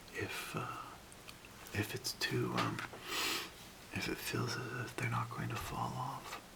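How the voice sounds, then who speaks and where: A man whispers at a very slow pace with long, frequent pauses. Noticeable background noise runs underneath. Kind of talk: ASMR how-to demonstration. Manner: soft-spoken.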